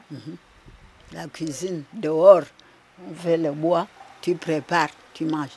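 A woman speaks very slowly at a very deep, low pitch, with fairly even intonation. Her loudness swings widely, and she leaves long, frequent pauses. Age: 80s+. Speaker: retired midwife. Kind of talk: interview.

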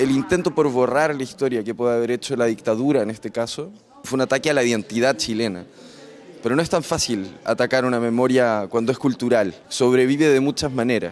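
Noticeable background noise fills the clip. Over it, a man talks fairly quickly. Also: medium pitch for a man, ordinary pitch variation. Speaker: documentary film expert. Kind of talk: interview answer. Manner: halting.

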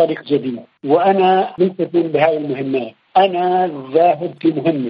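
Speaking at a moderate speed, a high-voiced man varies his pitch in an ordinary way. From Palestine, West Bank village. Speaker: poet and researcher. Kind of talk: interview.

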